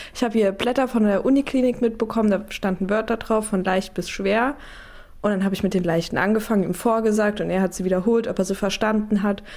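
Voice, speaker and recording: Very fast speech comes from a woman at medium pitch. Her loudness is very even and her intonation fairly even. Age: 20s. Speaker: daughter of hearing-impaired man. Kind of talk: interview testimony.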